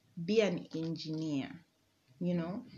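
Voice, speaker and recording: The woman's voice sounds somewhat breathy. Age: 20s. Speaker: engineering student. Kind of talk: casual chat.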